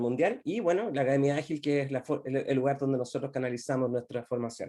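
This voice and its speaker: Very fast speech with fairly even intonation and a dark, mellow tone. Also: man. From Chile. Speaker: agile consultant. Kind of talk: presentation.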